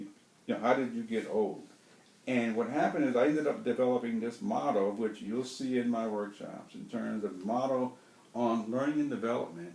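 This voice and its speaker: A man's medium-pitched voice, with ordinary pitch variation, comes through audible room echo and noticeable background noise. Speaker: trainer telling his life story. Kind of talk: personal monologue. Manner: repetitive, halting.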